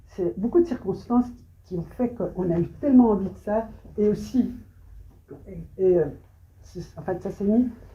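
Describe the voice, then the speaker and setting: A woman speaks with a somewhat breathy voice and big swings in loudness. Long, frequent pauses break up her speech. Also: medium pitch for a woman, ordinary pitch variation, moderate pace. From Belgium, Brussels. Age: 70s. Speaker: photographer. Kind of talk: interview on stage. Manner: halting, many hesitations.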